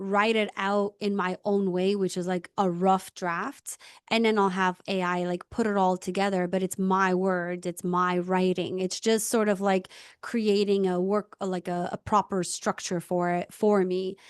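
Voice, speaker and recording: In a non-native accent, a woman speaks at a fairly slow pace with a medium pitch and monotone, flat intonation, the sound dry and close with no echo against a quiet background. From immigrant, non-English-speaking country. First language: not English. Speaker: podcast host. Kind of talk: casual interview conversation.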